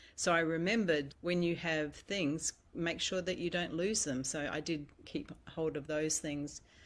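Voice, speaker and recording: This woman has an unremarkable speaking voice, fairly low in pitch, with fairly even intonation at a fairly slow pace. The recording is very clean, with a silent background. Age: 60s. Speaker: audience member sharing a reflection. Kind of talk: casual chat.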